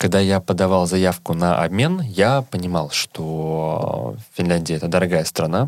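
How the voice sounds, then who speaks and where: Very deep, low pitch from a man, with ordinary pitch variation and a fairly slow pace. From Russia, Saint Petersburg. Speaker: PhD student and startup founder. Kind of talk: casual interview.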